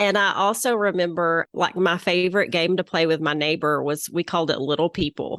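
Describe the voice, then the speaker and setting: Speaking with a Southern US accent at a fairly quick pace, a woman with a fairly low pitch keeps very even loudness and ordinary pitch variation, the sound dry and close with no echo over a quiet background. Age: 40s. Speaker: interior designer, former physician. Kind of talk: interview.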